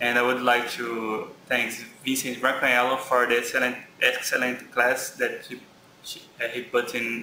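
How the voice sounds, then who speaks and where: In a Brazilian Portuguese accent, a man talks at a moderate pace and a medium pitch with monotone, flat intonation, audible room echo and noticeable background noise. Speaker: graduate student. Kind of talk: lecture. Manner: halting.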